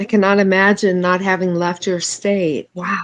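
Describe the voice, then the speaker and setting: At a fairly slow pace, a woman with an American accent and a medium pitch talks in a plain, everyday voice. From Chicago. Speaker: stream guest. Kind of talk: casual chat.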